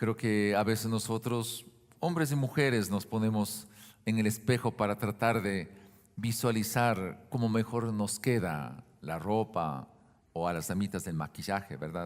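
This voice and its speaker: At a fairly slow pace, a man speaks in an ordinary speaking voice with ordinary pitch variation. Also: fairly low pitch for a man. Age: 60s. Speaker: pastor. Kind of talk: sermon. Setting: church.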